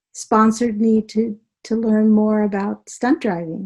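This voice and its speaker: With a dark, mellow tone, a woman speaks somewhat breathy and fairly high pitched at a fairly slow pace, her intonation monotone and flat. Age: 70s. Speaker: author and healing practitioner. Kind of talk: interview.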